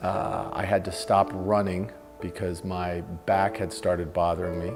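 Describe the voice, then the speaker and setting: Over music in the background, the speech moves at a fairly slow pace. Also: man. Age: 40s. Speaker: senior vice president at a tech company. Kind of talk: patient testimonial.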